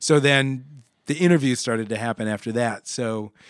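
A man with an American accent, with ordinary pitch variation and a dry, close sound with no echo, against a quiet background. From Nebraska, Omaha. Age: 50s. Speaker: session guitarist. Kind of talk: casual interview chat. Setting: studio.

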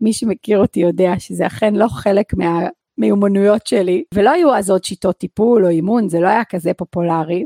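In a dark, mellow tone with lively intonation, a woman speaks at a medium pitch with a dry, close sound and no echo. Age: 40s. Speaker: podcast host and personal coach. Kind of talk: personal monologue podcast.

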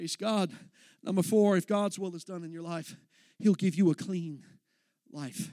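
A man with an American accent speaks in a high voice with a dark, mellow tone, at a moderate pace with fairly even intonation. He leaves long, frequent pauses, and the sound is dry and close with no echo. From Texas. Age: young. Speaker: young minister, guest preacher. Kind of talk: sermon. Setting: church service with congregation. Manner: passionate, intense.

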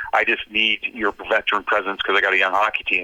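A man speaks at a fairly quick pace. He talks with a western Canadian accent. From Canada, North Vancouver. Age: 50s. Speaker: former pro hockey player, commentator. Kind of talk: interview.

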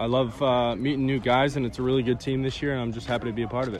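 Talking very fast with an American accent, a man keeps a medium pitch and fairly even intonation against noticeable background noise. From Connecticut, US Northeast. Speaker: college baseball player. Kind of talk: interview.

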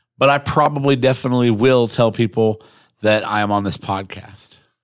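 Heard on a very clean recording with a silent background, a normal speaking voice with an American accent moves at a moderate pace with ordinary pitch variation. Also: man. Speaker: podcast host and mayoral candidate. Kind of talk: casual chat. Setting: studio. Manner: casual, joking, profane.

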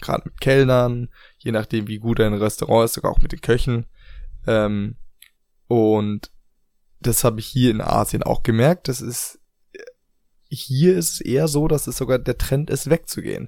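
A man with a dark, mellow tone uses ordinary pitch variation and long, frequent pauses. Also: medium pitch for a man, moderate pace. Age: 20s. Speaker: podcast co-host. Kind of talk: casual chat.

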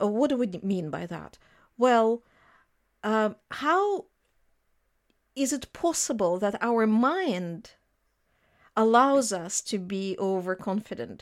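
A woman with a Russian accent, fairly high-pitched with lively intonation, at a very slow pace with long, frequent pauses, on a very clean recording with a silent background. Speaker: economics lecturer. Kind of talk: interview.

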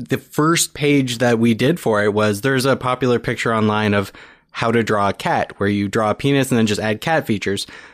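On a very clean recording with a silent background, a man with an ordinary speaking voice talks at a fairly quick pace and medium pitch, with ordinary pitch variation and very even loudness. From Niagara region, Ontario, Canada. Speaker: podcaster and book creator. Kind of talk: casual interview chat. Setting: studio.

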